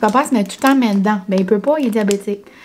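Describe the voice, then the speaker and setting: Speaking at a fairly quick pace with a New Brunswick accent, a woman with a fairly high pitch is heard over noticeable background noise. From New Brunswick, Canada (Acadian French). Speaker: vlogger. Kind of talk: casual vlog talk to camera. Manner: chatty, many fillers (euh).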